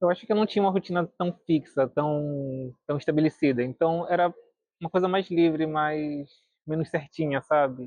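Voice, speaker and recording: A plain, everyday voice from a man, delivered at a moderate pace. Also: fairly high pitch for a man, ordinary pitch variation. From Brazil, Recife. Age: 20s. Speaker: university student. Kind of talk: documentary interview.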